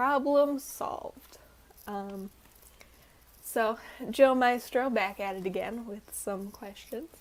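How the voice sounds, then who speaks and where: A woman at a very slow pace and fairly high pitch, with ordinary pitch variation, long and frequent pauses, and big swings in loudness. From North Carolina, US South. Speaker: student vlogger. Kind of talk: casual vlog talk. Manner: casual, hesitant with fillers.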